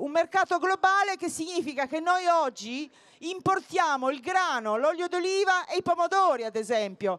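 A woman speaks at an extremely high pitch with lively intonation and a fairly slow pace. The sound is dry with no echo. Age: 50s. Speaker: political activist; speaker. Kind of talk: campaign speech. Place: open country. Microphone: handheld.

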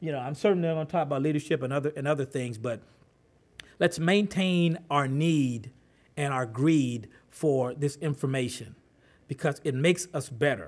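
Ordinary pitch variation comes through as the speech keeps a moderate pace. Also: man. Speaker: presenter. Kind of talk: talk to an audience. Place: meeting room. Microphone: podium.

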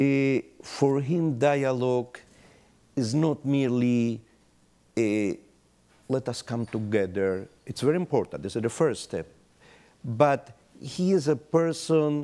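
The voice has a dark, mellow tone and moves at a very slow pace with long, frequent pauses. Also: man. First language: Spanish. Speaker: rabbi. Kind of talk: panel discussion; panel discussion answer. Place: hall. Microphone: lapel.

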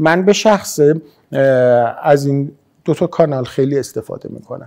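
This man has a fairly high pitch. It varies in an ordinary way. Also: moderate pace, quiet background. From Isfahan, Iran. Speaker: maxillofacial surgeon. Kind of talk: interview answer. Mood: calm, friendly. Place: home room.

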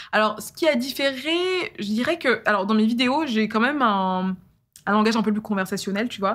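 At a moderate pace, a woman speaks in an animated tone with a fairly high pitch and ordinary pitch variation. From France, Eure-et-Loir (Dreux); France. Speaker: YouTuber and storyteller; YouTuber, storyteller. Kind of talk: casual interview. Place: studio. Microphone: studio mic.

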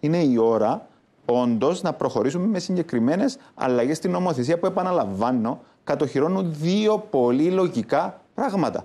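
A man speaks with a dark, mellow tone. His pitch swings very widely. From Cyprus. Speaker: economist; guest, politician. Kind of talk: TV panel debate. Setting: TV studio. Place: studio. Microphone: lapel.

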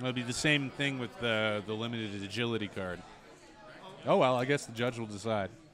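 In a plain, everyday voice, a man speaks at a fairly quick pace with a medium pitch and ordinary pitch variation. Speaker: esports commentator. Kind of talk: live sports-style commentary. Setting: in-person at a game store. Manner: relaxed, chatty, conversational play-by-play.

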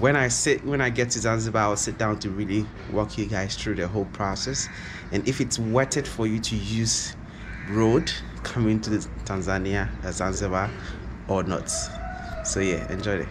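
A man's fairly low-pitched voice at a moderate pace, with fairly even intonation, long, frequent pauses and noticeable background noise. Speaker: travel vlogger. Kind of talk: casual vlog chat. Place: home room. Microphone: phone near.

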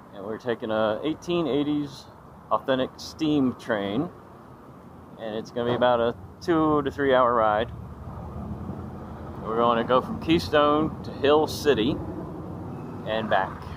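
A man's fairly slow speech with long, frequent pauses and ordinary pitch variation, dry with no echo, over noticeable background noise. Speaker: travel vlogger. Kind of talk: casual vlog chat. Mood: upbeat, excited. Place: street. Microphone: phone near.

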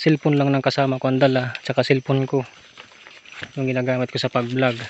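A man speaks at a fairly quick pace. The sound is dry with no echo, and there is light background noise. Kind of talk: casual vlog chat. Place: forest. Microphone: phone near.

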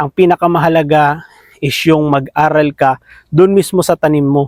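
In a normal speaking voice, the speaker keeps a moderate pace and fairly even intonation, with a dry sound with no echo and a quiet background. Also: man. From Philippines. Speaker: farming vlogger. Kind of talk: casual interview chat; casual vlog chat. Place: open country. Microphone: phone near.

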